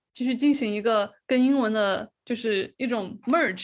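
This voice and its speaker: A high-pitched woman with lively intonation and a slight Changsha accent, on a very clean recording with a silent background. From Changsha, Hunan. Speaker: podcast host. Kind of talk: casual chat.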